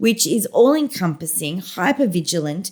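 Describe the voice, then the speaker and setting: On a very clean recording with a silent background, a woman with an Australian accent speaks at a moderate pace, somewhat breathy, her pitch swinging very widely. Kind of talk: casual interview chat.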